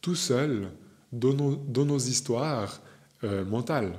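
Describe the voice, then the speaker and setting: A fairly slow delivery with ordinary pitch variation. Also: man. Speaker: spiritual medium and teacher. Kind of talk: video monologue. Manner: hesitant fillers.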